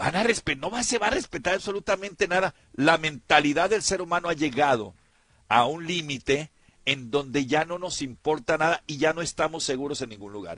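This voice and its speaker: Lively intonation and a bright, sharp tone mark this man's fairly high voice as he talks at a fairly quick pace. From Sinaloa, Mexico. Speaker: radio host. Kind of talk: casual radio talk. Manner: animated.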